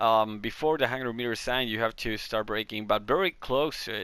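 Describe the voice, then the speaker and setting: Speaking at a moderate pace in a Chilean accent, this voice has a bright, sharp tone and ordinary pitch variation, captured in a very clean recording with a silent background. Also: man. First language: Spanish. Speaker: gaming video creator. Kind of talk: tutorial. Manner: halting.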